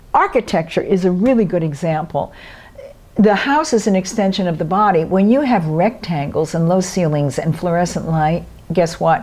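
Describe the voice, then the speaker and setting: A woman with an American accent speaks at a moderate pace with a fairly low pitch and ordinary pitch variation. Noticeable background noise sits behind her. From New York City, Brooklyn. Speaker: movement teacher. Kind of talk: interview.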